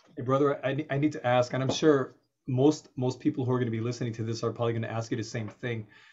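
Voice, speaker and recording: Words come at a very fast pace. Behind them the background stays quiet. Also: man. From United States. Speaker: show host and interviewer. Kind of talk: casual interview. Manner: animated. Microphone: video call.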